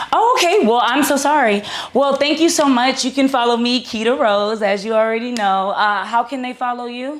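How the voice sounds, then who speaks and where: A loud, high-pitched woman's voice at a moderate pace, with ordinary pitch variation. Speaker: content creator interviewer. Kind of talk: confrontational interview. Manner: steady tone.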